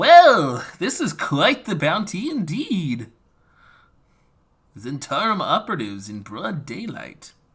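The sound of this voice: A man in a put-on character voice, high-pitched for a man, at a fairly slow pace with long, frequent pauses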